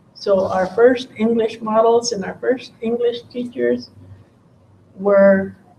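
A woman's somewhat breathy voice with a dark, mellow tone and ordinary pitch variation at a very slow pace, over light background noise. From Arizona. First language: Tohono O'odham. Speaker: professor of linguistics and poet; professor of linguistics, poet. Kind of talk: keynote lecture. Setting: stage with audience. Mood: calm, measured. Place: hall. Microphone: camera far.

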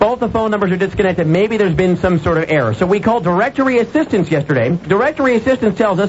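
Amid light background noise, a man with a high voice talks at a very fast pace with hardly any pauses. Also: lively intonation. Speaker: radio show host. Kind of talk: radio talk show monologue. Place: studio. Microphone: studio mic.

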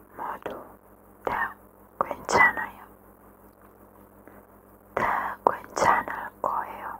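Long, frequent pauses break up a whisper that moves at a very slow pace. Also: woman. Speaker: ASMR creator. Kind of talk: ASMR positive affirmations. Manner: whispered; slow, repetitive. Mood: calm, soothing. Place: home room. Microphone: studio mic.

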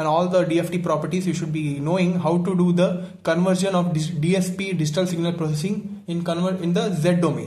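This is a man with a high-pitched voice. His intonation stays fairly even. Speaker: teacher explaining notes. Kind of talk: lecture. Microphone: phone near.

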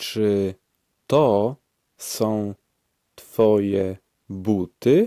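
A man with a fairly low pitch talks in a dark, mellow tone with fairly even intonation, the sound dry and close with no echo. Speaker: language course speaker. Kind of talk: language drill, repeated phrases. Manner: slow, clear enunciation.

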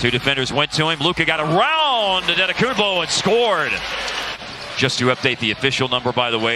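An energetic man talks at a fairly quick pace with very wide pitch swings, his dry voice carrying no echo against noticeable background noise. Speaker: basketball play-by-play announcer. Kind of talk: live commentary. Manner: rapid-fire play-by-play, clipped and energetic; excitable on big shots, with bursts of emphasis.

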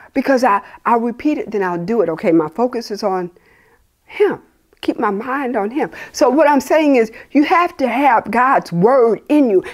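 Against a quiet background, a woman's high voice swings very widely in pitch. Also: moderate pace. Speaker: preacher. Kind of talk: sermon. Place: home room.

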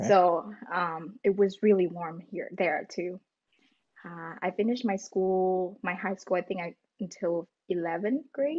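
A woman speaks at a fairly slow pace and medium pitch with ordinary pitch variation, over a quiet background. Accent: Vietnamese. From Vietnam. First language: Vietnamese. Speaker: student; podcast guest. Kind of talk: casual interview. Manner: halting. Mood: friendly, smiling. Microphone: video call.

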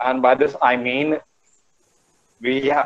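A man with an Indian accent. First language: Hindi. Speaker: guest speaker, tourism alumnus. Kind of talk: online talk. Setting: video call. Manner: animated. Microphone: video call.

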